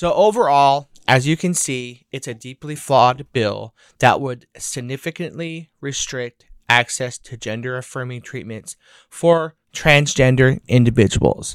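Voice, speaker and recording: This man has a normal speaking voice, medium in pitch with ordinary pitch variation, big swings in loudness and a fairly slow pace. The sound is dry and close with no echo, on a very clean recording with a silent background. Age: 30s. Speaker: podcast host and activist. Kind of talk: scripted narration; personal testimony.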